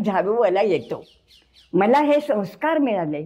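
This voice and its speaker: This woman's dark, mellow voice swings very widely in pitch. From Nagpur, Maharashtra. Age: 80s+. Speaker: freedom fighter and non-violence activist. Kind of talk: interview answer.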